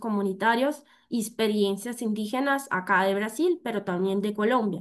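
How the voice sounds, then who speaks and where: Against a quiet background, a woman with a Brazilian accent speaks at a fairly high pitch with ordinary pitch variation. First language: Portuguese (speaking Spanish). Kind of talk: conference presentation. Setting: virtual event. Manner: halting, many fillers.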